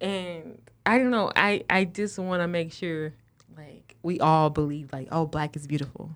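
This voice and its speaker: A woman's fairly low voice, ordinary in pitch variation, with big swings in loudness. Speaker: PhD student and mother. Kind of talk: casual chat. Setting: studio. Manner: fast.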